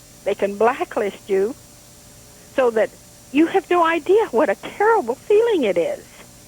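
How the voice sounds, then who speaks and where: The voice swings very widely in pitch at a moderate pace, with very even loudness and long, frequent pauses. The sound is dry and close with no echo, though background noise is noticeable. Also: woman, high pitch for a woman. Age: 70s. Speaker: caller. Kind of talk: call-in comment.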